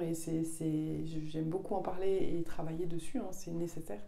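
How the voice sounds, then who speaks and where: A woman speaks amid noticeable background noise. Her voice carries audible room echo. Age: 40s. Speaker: communication trainer. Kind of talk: video presentation. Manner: hesitant, many fillers.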